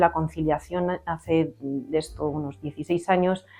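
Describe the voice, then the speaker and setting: Music plays in the background. A woman speaks in a fairly low pitch with fairly even intonation. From Spain, Valladolid. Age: 40s. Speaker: employment support worker. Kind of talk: interview answers. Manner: hesitant, many fillers.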